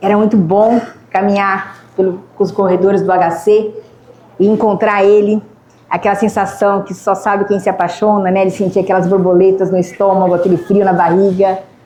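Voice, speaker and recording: Noticeable background noise sits behind a woman's voice. She talks at a moderate pace in a monotone, flat intonation. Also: medium pitch for a woman. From Ribeirão Preto, São Paulo state, Brazil. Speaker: motivational speaker and biomedical scientist. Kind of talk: lecture. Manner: conversational, engaging the audience.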